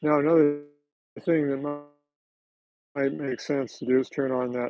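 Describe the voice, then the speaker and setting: At a medium pitch and moderate pace, a man speaks with fairly even intonation. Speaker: model railroad hobbyist. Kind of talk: live stream tutorial. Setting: home layout room, live stream. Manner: loud; casual, halting.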